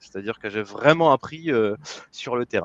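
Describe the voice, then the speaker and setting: With a dry, close sound and no echo, a man speaks with lively intonation. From France. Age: 30s. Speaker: business coach. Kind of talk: interview. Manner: halting, many fillers.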